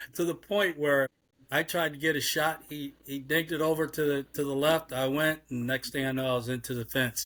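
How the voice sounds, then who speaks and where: A man's fairly quick delivery keeps a fairly even intonation. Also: fairly high pitch for a man. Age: 60s. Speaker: league executive. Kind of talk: interview. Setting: podcast. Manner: halting, repetitive.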